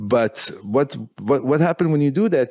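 A man talks at a fairly quick pace with an ordinary speaking voice, a fairly high pitch and lively intonation. The recording is very clean, with a silent background. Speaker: podcast host. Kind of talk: casual interview chat.

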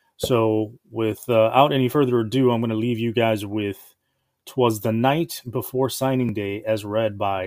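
An unremarkable speaking voice from a male speaker, his intonation fairly even. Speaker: podcast host. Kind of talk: casual intro.

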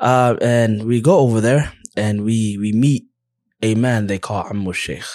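A normal speaking voice from a man with an American accent, medium in pitch, fairly slow, with fairly even intonation. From USA. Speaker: Islamic teacher who studied abroad. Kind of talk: casual interview chat.

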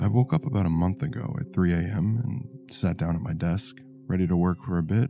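Against noticeable background noise, a man with a fairly low pitch talks at a moderate pace with very wide pitch swings. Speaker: horror story narrator. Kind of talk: creepypasta horror narration, first person. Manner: uneasy, anxious delivery that builds dread.

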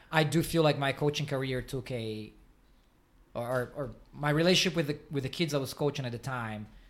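Speaking in a Portuguese accent, the voice shows ordinary pitch variation. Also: man. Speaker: podcast host, swim coach. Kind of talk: interview conversation. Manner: halting, with frequent fillers.

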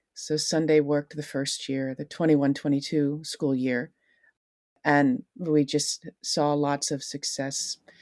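At a fairly slow pace, a woman with an American accent speaks in a very deep, low pitch with fairly even intonation, on a very clean recording with a silent background and a dry, close sound with no echo. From US, Long Island, New York. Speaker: school counselor. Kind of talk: casual interview.

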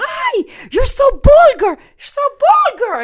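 A put-on character voice in a Spanish accent comes at an extremely high pitch and a fairly slow pace. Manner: scolding.

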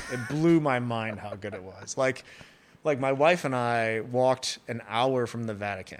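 Speaking in an unremarkable speaking voice, the man holds a medium pitch with ordinary variation and moves at a moderate pace. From US, Chicago area, Chinese immigrant family. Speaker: pizzeria owner. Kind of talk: casual interview chat. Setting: coffee shop.

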